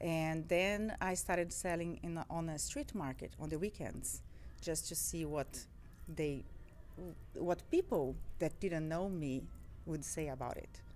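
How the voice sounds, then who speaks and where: With a Portuguese accent, a woman speaks at a fairly slow pace, leaving long, frequent pauses. The recording carries audible room echo. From Brazil. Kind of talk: interview. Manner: halting, with fillers and repeats.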